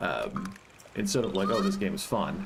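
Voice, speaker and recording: Both audible room echo and noticeable background noise are present throughout the clip. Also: man. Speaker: gaming streamer. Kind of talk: casual gameplay livestream commentary. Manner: speaking more quietly than normal; careful enunciation.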